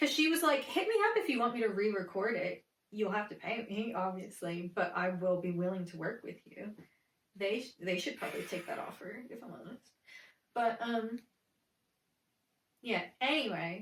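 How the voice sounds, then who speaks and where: Somewhat breathy, a woman with a fairly high pitch speaks at a moderate pace with lively intonation and big swings in loudness. She leaves long, frequent pauses. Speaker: voice actor. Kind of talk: casual podcast conversation.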